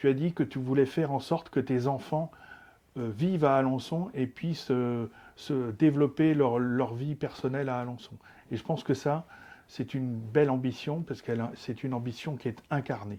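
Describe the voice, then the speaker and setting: Dark, mellow tone from a man at medium pitch and moderate pace, against a quiet background. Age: 60s. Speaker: local politician. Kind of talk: interview. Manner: hesitant, many filler sounds.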